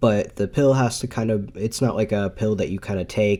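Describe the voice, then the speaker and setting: Man with a dark, mellow tone, fairly even intonation and a moderate pace on a very clean recording with a silent background. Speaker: podcast host. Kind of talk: casual monologue. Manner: halting, many fillers.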